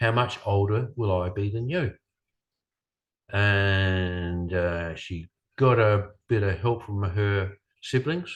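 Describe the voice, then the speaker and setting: Against a quiet background, a man with an Australian accent speaks in a fairly low, somewhat breathy voice. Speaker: speaker. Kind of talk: lecture. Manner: halting.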